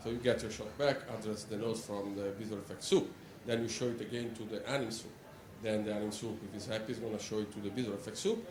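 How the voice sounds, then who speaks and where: A man with an Italian accent talks very fast in a fairly low, monotone, flat voice, with audible room echo. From Italy, Rome. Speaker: animator. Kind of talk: conference talk. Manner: hesitant, many fillers.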